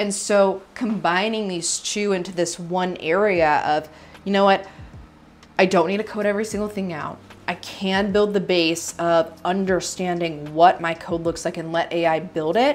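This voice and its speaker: A woman's voice, fairly even in intonation, moves at a moderate pace. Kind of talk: opinion talk to camera. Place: home room.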